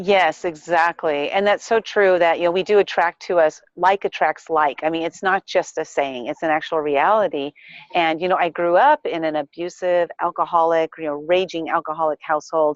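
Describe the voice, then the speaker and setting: In a normal speaking voice, the speaker keeps a moderate pace and fairly even intonation with hardly any pauses, captured with a dry, close sound and no echo. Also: woman, fairly low pitch for a woman. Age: 50s. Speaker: life coach and entrepreneur. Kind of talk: interview.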